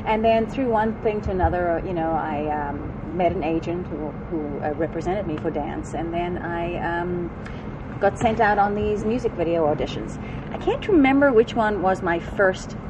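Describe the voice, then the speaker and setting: A woman's fairly low voice at a moderate pace, with ordinary pitch variation and noticeable background noise. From South Africa. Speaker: actress. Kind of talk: interview. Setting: fan convention.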